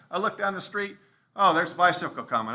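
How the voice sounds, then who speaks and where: Using lively intonation, a man talks at a very fast pace in a high pitch. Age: 70s. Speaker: resident speaking at public comment. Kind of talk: public comment at city council workshop.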